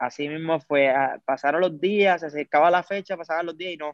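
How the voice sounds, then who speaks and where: Using a plain, everyday voice, a man talks at a fairly quick pace with a fairly high pitch and fairly even intonation. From Puerto Rico, Lares (west). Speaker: music video director. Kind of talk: casual interview.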